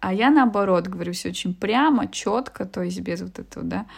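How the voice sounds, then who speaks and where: A woman's medium-pitched voice with vocal fry, at a moderate pace. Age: 30s. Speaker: business consultant. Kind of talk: interview. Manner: hesitant with fillers.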